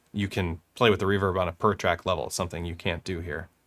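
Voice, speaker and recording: Talking fairly quickly, a man is heard on a very clean recording with a silent background. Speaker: music production youtuber. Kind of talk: live-streamed tutorial. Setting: live stream. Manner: fast.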